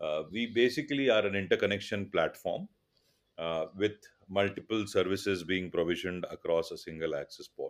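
The speaker talks at a fairly quick pace with an Indian accent. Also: man. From India, Mumbai. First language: Tulu. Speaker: telecom business executive. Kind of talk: interview. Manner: halting with many fillers.

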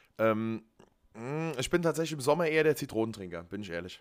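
Lively intonation carries speech delivered very fast. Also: man. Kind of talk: casual chat.

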